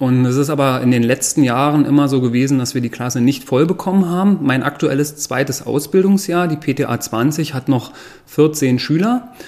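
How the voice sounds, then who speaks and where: A man's ordinary speaking voice, fairly high, at a moderate pace with ordinary pitch variation. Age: 40s. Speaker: pharmacist and school principal. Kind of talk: interview. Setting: staff break room at the school.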